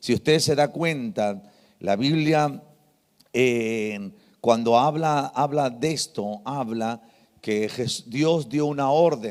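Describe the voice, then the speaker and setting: Recorded very cleanly against a silent background, a man speaks at a very slow pace. His pitch is medium, with ordinary variation. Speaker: pastor. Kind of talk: sermon.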